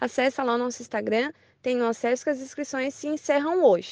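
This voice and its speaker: A fairly quick, high-pitched woman's voice with ordinary variation in pitch. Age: 20s. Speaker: tourism association member. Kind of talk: radio interview.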